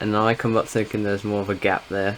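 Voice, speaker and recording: Speaking with an English accent, a man keeps his pitch fairly low. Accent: English accent in voiceovers. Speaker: sim racing gamer. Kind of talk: gameplay commentary voiceover. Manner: casual, with frequent filler words.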